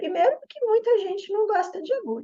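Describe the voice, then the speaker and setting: Her voice carries a dark, mellow tone as the woman speaks. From southern Brazil, Porto Alegre. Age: 50s. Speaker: yoga therapist and Chinese medicine practitioner. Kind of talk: promotional explainer video.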